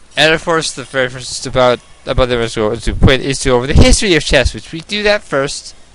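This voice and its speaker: The voice shows big swings in loudness and lively intonation amid noticeable background noise. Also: man. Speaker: gaming video creator and chess club teacher. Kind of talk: casual chat over gameplay. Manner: fast; halting, many false starts.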